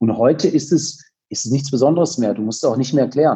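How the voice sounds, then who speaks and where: Very fast and somewhat breathy, a man speaks in a dark, mellow tone. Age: 40s. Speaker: company founder. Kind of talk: interview. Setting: video call.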